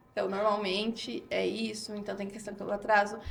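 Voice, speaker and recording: A woman speaks in a raised, projected voice. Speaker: psychologist. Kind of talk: interview. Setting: studio. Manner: loud; animated.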